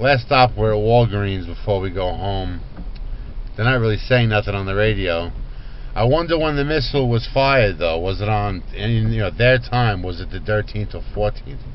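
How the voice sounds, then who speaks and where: The room echo is audible around this man. He talks at a fairly low pitch with ordinary pitch variation. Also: moderate pace. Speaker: vlogger. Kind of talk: casual vlog while driving. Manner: loud. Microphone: cheap camera mic.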